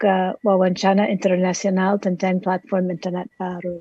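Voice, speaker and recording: Recorded with a dry, close sound and no echo, a woman speaks at a medium pitch in a dark, mellow, somewhat breathy tone. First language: English (speaking Indonesian). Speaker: dramaturg and translator. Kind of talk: panel presentation. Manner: halting, many hesitations.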